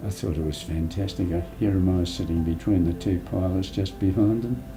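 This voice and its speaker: A man with an Australian accent talks at a fairly quick pace in a very deep, low pitch with ordinary pitch variation. Music plays in the background, and audible room echo can be heard. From Sydney, Australia. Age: 90s. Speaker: war veteran. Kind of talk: interview.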